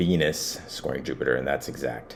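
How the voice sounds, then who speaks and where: A man speaks in a very deep, low voice. His pitch varies in an ordinary way. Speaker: astrologer, channel host. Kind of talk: astrology forecast with screen walkthrough. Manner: casual, halting at times.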